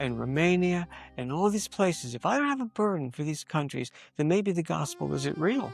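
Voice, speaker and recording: Music plays in the background as a man talks at a fairly quick pace. His pitch is fairly high and his intonation lively. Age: 70s. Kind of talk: interview testimony.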